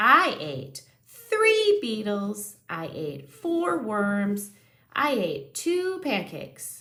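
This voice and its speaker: In a raised, projected, put-on character voice of medium pitch, a woman speaks very slowly with very wide pitch swings and audible echo. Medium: read story.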